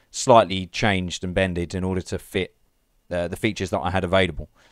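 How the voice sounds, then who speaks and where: Speaking at a fairly quick pace, a man with an Essex accent has a very deep, low voice, captured on a very clean recording with a silent background. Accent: southern English (Essex). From England (Leigh-on-Sea, Essex). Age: 20s. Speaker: amateur machinima filmmaker. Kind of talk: interview. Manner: hesitant, many fillers.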